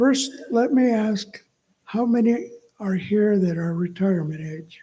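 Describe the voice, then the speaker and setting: A man speaks in a high voice. His intonation is lively and his pace fairly slow. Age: 70s. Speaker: stroke survivor and author. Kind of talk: reading aloud.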